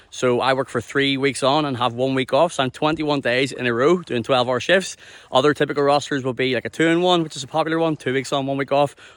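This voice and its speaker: A speaker with a Northern Irish accent talks at a very fast pace. The intonation stays fairly even. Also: man, fairly high pitch for a man. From Ireland. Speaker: mining worker and content creator. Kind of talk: casual vlog explanation. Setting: outdoors on a beach. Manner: casual, repetitive with false starts.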